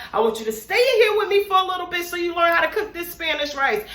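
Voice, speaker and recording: A woman speaks in a raised, projected voice with an animated tone and very wide pitch swings. Noticeable background noise and audible room echo are present. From West Indian heritage. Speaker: cooking YouTuber. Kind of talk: casual cooking tutorial. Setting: home kitchen.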